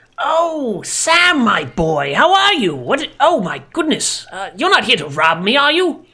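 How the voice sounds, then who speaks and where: A high, put-on character voice moves at a fairly slow pace. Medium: actual play. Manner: fussy, grandfatherly.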